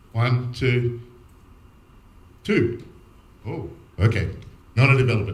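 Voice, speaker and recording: Audible room echo surrounds a man speaking somewhat breathily with an Australian accent. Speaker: security architect, conference speaker. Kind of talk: conference talk. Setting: stage with audience. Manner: fast.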